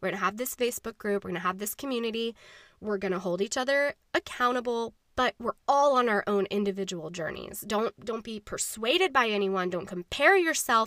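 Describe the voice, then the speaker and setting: Lively intonation and a bright, sharp tone in a dry, close sound with no echo, on a very clean recording with a silent background. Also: woman, fairly high pitch for a woman. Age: 30s. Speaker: podcast host. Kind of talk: casual solo monologue. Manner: rambling, many fillers.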